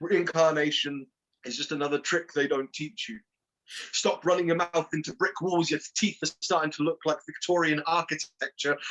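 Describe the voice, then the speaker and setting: An ordinary speaking voice, a man's at fairly high pitch speaks with fairly even intonation in a dry, close sound with no echo. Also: moderate pace. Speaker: poet. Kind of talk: poetry reading.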